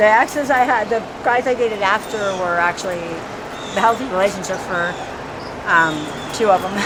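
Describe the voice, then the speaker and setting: Against noticeable background noise, a woman with an American accent talks at a fairly quick pace and medium pitch, with ordinary pitch variation and long, frequent pauses. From Washington DC. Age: 40s. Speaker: homeless woman in recovery. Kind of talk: street interview. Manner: halting.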